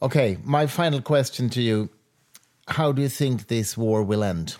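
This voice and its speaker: A man with a Swedish accent speaks at a fairly slow pace and medium pitch, his lively intonation broken by long, frequent pauses. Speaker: podcast host. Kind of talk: interview.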